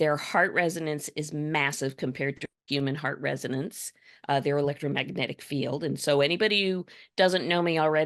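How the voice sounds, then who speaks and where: Against a quiet background, the speaker sounds animated, talking at a fairly quick pace with ordinary pitch variation. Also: woman, very deep, low pitch for a woman. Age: 60s. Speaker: EFT practitioner, writer and numerologist. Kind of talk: podcast interview.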